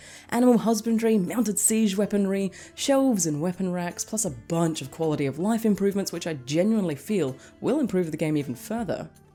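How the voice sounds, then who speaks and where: A woman at a very fast pace with lively intonation, music playing in the background. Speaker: game reviewer and novelist. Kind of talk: game review narration.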